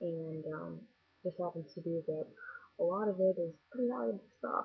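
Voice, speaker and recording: A woman with a fairly low pitch speaks at a moderate pace, her somewhat breathy voice carrying lively intonation. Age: 20s. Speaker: vlogger. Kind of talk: casual vlog monologue. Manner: casual, hesitant with fillers.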